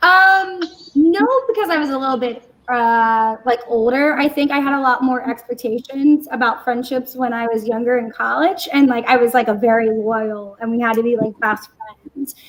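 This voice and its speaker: Loud and high-pitched, a woman talks at a moderate pace with ordinary pitch variation. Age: 30s. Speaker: panel guest on friendship talk show. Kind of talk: casual chat.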